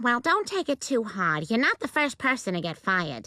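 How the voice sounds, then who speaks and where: A female-sounding cartoonish character voice, pitched fairly high, moves at a moderate pace. Its pitch swings very widely. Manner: calm, motherly.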